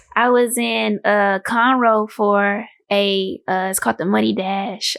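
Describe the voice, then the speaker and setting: Fairly slow speech from a woman with a Houston accent, medium in pitch, over a quiet background. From Houston, Texas. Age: 20s. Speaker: guest interviewee. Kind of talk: casual chat.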